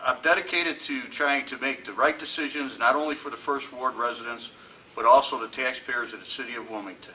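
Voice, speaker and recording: Over noticeable background noise, a man talks in a fairly high voice. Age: 60s. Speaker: city council member. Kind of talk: candidate statement at public forum.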